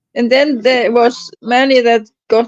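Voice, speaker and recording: The speaker talks at a fairly slow pace in a Norwegian accent. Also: woman. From Norway. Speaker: stream regular. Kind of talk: casual chat. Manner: halting.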